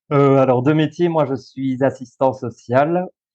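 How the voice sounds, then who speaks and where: The speech moves at a fairly slow pace. The sound is dry and close with no echo, and the tone is dark and mellow. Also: man. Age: 30s. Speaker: social worker and school coach. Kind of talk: interview.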